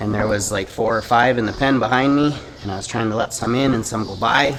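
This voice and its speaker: Over noticeable background noise, a man with a medium pitch speaks at a very fast pace. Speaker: farrier. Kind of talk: casual chat. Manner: halting.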